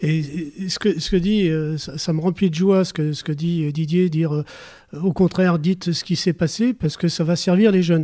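A man's high voice, dark and mellow in tone, with fairly even intonation at a moderate pace. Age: 70s. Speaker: youth football coach. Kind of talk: casual chat.

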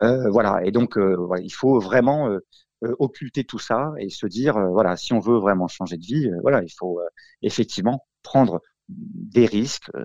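At a very slow pace, a man speaks at medium pitch with lively intonation and big swings in loudness. The sound is dry and close with no echo, over a quiet background. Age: 40s. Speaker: franchisee, roofing business owner. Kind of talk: interview. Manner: halting.

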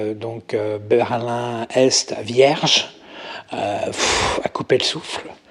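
Noticeable noise in the background behind a male voice of medium pitch. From Paris region, France. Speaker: makeup artist. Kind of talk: interview conversation. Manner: hesitant, many fillers.

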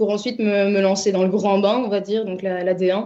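Here a woman talks at a moderate pace. Her voice has a medium pitch. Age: 30s. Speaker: football commentator. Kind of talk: interview. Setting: remote call.

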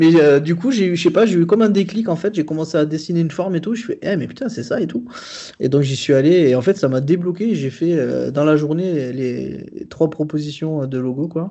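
This man speaks at a fairly quick pace with a fairly high pitch and ordinary pitch variation. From southern France. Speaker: graphic designer. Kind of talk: casual chat. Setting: remote interview. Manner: halting.

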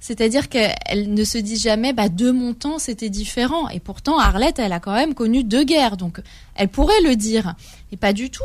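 In a very clean recording with a silent background, a woman speaks at a fairly high pitch. Her voice is somewhat breathy, with lively intonation at a moderate pace. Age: 30s. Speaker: journalist and literary critic, first-time author. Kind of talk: radio interview.

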